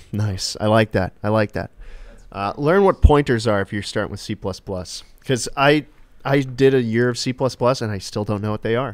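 With ordinary pitch variation and a medium pitch, the man talks at a moderate pace. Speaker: livestreamer; game streamer. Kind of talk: casual live stream chat. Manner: animated. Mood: joking, relaxed. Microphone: studio mic.

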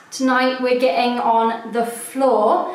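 In a room with audible echo, a woman speaks at a very slow pace with a high pitch. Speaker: home renovation vlogger. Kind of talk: casual vlog chat.

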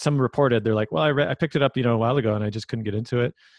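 A man with a Canadian accent, medium pitch and ordinary pitch variation. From Vancouver, Canada. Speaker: filmmaker and podcast host. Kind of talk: casual interview.

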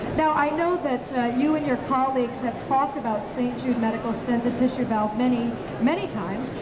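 Over loud background noise, a woman talks at a fairly quick pace in a high pitch with ordinary pitch variation. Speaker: corporate presenter. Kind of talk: live trade show presentation. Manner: personable, engaging. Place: hall. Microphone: headset.

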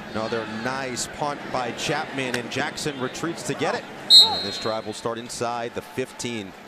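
Over noticeable background noise, a man sounds excited, speaking at a fairly slow pace with ordinary pitch variation. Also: medium pitch for a man. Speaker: play-by-play football announcer. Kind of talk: live play-by-play football commentary, calling each snap. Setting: stadium broadcast booth. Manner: brisk clipped bursts rising to excited calls on big plays.

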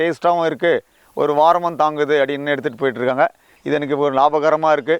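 This is an unremarkable speaking voice with fairly even intonation. The sound is dry and close, with no echo. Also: man. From Tamil Nadu, Vellore district. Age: 50s. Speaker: farmer, army veteran. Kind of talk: interview testimony. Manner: colloquial, filler-heavy.

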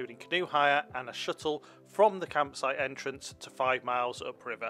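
A man talks at a fairly quick pace with ordinary pitch variation. Music plays in the background. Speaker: travel vlogger narrator. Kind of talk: travel vlog narration.

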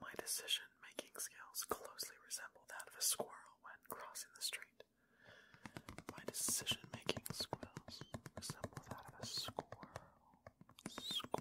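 Whispering at a fairly slow pace, a man leaves long, frequent pauses, and his loudness swings widely. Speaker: ASMR creator. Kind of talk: ASMR whispered reading. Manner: whispered, soft. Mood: playful, calm. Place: home room. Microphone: studio mic.

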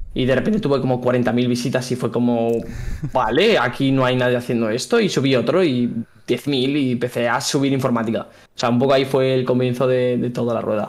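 With fairly even intonation and a fairly quick pace, this is a plain, everyday voice. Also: man, medium pitch for a man. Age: 20s. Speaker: software engineer and content creator; content creator. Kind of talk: casual interview. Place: home room. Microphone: studio mic.

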